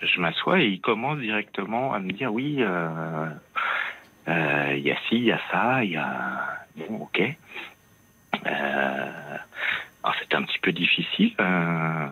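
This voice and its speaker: A man's very deep, low voice at a very slow pace, full of very wide pitch swings, against noticeable background noise. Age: 40s. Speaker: radio caller. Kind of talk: phone-in testimony.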